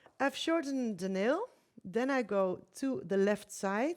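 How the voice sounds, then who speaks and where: A woman speaks in a non-native accent at a fairly slow pace. Her intonation is lively. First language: not English. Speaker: nail technician. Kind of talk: live demonstration. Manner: halting, hesitant.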